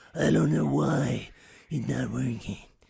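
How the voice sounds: A man's put-on character voice, gravelly and raspy, very deep and low in pitch, at a fairly slow pace with audible echo.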